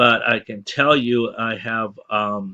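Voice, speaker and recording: The speaker mumbles with fairly even intonation and a bright, sharp tone. The background is quiet. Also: man. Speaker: online marketing promoter. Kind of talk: sales pitch. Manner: mumbling, stuttering; halting.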